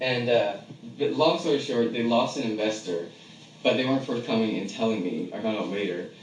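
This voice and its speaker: Medium pitch, ordinary pitch variation and a fairly quick pace in a man's speech, with noticeable background noise. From San Francisco. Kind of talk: casual chat.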